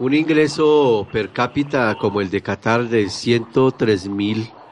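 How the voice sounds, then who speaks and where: Noticeable noise fills the background. Against it, a man talks at a medium pitch. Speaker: radio host. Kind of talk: radio talk show.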